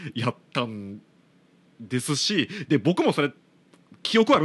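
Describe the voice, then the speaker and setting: A man in a Kansai accent, fairly slow, with very wide pitch swings, against a quiet background. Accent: Kansai Japanese. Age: 30s. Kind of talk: casual solo talk.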